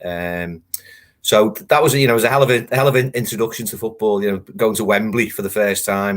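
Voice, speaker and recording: A man's fairly low voice at a fairly quick pace, with a Liverpool accent, on a very clean recording with a silent background. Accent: Liverpool (Scouse). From Liverpool, England. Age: 50s. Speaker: football writer. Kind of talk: interview.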